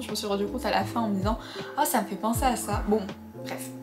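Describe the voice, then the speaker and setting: Her delivery moves at a moderate pace. Behind this woman, background noise is noticeable. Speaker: book reviewer. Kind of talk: casual chat. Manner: hesitant, with many fillers.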